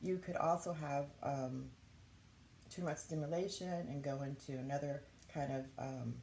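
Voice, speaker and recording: A woman speaks in a very deep, low voice with a dark, mellow tone and fairly even intonation, and the room echo is audible. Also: moderate pace. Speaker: YouTuber sharing health experience. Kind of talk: casual vlog talk. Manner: halting, with frequent fillers.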